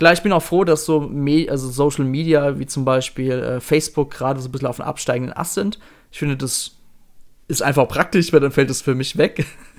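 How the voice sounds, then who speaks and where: A man with a normal speaking voice, fairly high in pitch, at a fairly quick pace with fairly even intonation. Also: big swings in loudness. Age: 30s. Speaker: podcast host. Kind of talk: casual chat.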